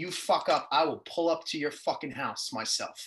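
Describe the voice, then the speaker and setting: A bright, sharp voice with a New York accent moves at a moderate pace with fairly even intonation. The background is quiet. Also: man. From New York City (Queens). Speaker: musician and record label head. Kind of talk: interview.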